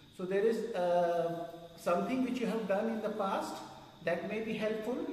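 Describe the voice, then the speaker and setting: A man speaks at a moderate pace with fairly even intonation. Audible room echo and light background noise surround him. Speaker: meditation teacher. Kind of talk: instructional talk to retreat group. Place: hall.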